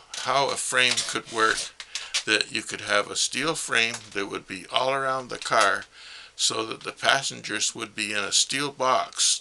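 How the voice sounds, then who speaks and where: Here a man talks at a fairly slow pace. Noticeable background noise runs behind him. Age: 80s+. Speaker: retired mechanic and amateur car inventor. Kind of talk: explanatory monologue.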